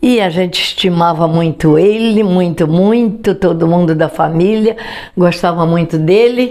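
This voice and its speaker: A woman speaks at a fairly slow pace with a fairly low pitch and ordinary pitch variation. Noticeable background noise is present. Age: 80s+. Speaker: grandmother. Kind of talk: interview answer. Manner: storytelling, reminiscing.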